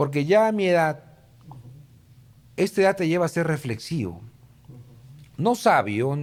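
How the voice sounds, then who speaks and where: Here a man talks at a fairly high pitch. His pace is fairly slow. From Peru, Lima. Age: 60s. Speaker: political consultant. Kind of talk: interview conversation.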